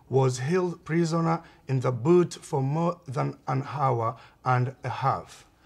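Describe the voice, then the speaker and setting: A man's fairly high, somewhat breathy voice at a very slow pace, with ordinary pitch variation. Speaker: amateur video maker. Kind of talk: amateur documentary narration. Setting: outdoors in a park.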